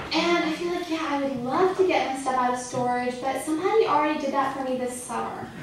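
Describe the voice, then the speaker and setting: Fairly quick speech with ordinary pitch variation, noticeable background noise and audible room echo. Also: woman. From US South, Atlanta. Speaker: comedian. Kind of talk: stand-up. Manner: halting, frequent ums.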